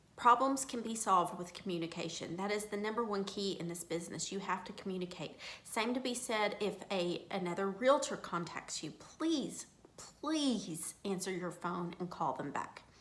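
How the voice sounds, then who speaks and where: A woman's lively, bouncing intonation over noticeable background noise. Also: medium pitch for a woman. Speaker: real estate broker training agents. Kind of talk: informal training talk to own agents. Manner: fast; earnest, emphatic.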